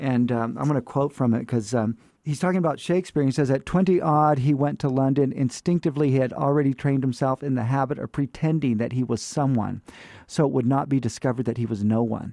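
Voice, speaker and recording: Over a quiet background, a man with an American accent talks very fast in a dark, mellow, medium-pitched voice with ordinary pitch variation. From California. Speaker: radio host. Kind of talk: casual interview conversation.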